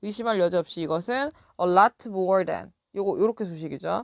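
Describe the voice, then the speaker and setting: A woman of medium pitch talks at a moderate pace. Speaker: English teacher. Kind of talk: lecture.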